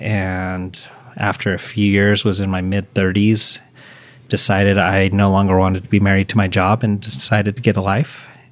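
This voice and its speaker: An ordinary speaking voice from a man, fairly low-pitched and fairly slow, with fairly even intonation. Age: 40s. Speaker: senior living services manager. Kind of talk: interview conversation.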